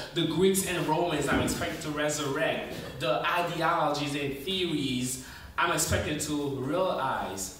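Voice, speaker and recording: Audible room echo surrounds a man's fairly high voice. Light background noise is also present. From New York City, USA. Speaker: spoken word poet. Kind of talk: spoken word poetry performance. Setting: open mic stage. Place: stage.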